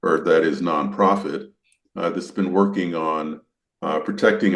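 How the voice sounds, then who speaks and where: A man speaks at a fairly slow pace. Vocal fry colors his voice. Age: 70s. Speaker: podcast host, former park service official. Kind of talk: interview conversation. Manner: hesitant, many fillers.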